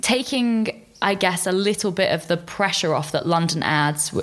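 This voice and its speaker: Noticeable background noise accompanies a woman speaking at a moderate pace in a fairly low pitch. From Corfu, Greece (half Greek, half British). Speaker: food and travel writer. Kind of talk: casual interview chat.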